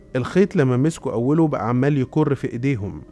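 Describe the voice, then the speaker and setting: With music in the background, a man with an Egyptian accent speaks in a medium pitch. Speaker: radio and TV presenter. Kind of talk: casual conspiracy-story narration.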